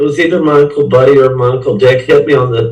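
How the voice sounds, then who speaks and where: A man with an American accent speaks at a moderate pace, his pitch fairly high and his voice somewhat breathy. Audible room echo surrounds him. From US Midwest, St. Louis. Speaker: rock musician. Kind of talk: interview. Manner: halting.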